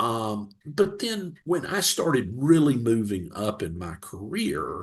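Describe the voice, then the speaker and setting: Speaking very slowly with a Southern US accent, a man at medium pitch makes very wide pitch swings. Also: hardly any pauses. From US South, Central Georgia. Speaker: retired business executive, leadership consultant. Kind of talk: podcast interview. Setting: podcast interview. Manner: hesitant with frequent fillers and repeats.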